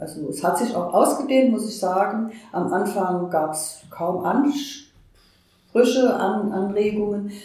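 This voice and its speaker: A woman speaks at a medium pitch and a fairly slow pace. Audible room echo and noticeable background noise surround her voice. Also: ordinary pitch variation. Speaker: community organizer. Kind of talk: interview.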